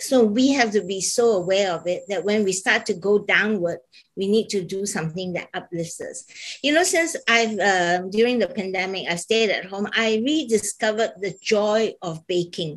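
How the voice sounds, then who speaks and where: A woman talks at a moderate pace in a fairly high pitch. It is a plain, everyday voice. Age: 60s. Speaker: fashion business founder. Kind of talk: panel talk show discussion.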